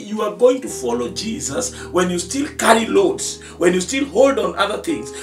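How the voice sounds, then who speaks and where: A man talks at a moderate pace. Clear music plays behind him, and the room echo is audible. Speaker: pastor. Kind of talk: sermon. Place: studio.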